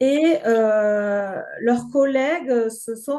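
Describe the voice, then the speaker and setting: High pitch from a woman, with ordinary pitch variation. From southern France. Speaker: grief counselor and game creator. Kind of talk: podcast interview. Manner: hesitant, many filler words.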